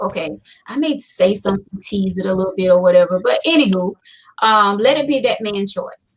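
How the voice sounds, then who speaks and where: A somewhat breathy voice with lively intonation at a fairly quick pace. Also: woman, medium pitch for a woman. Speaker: talk show host. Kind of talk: live show discussion, reading listener letter and advising. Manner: hesitant, many fillers.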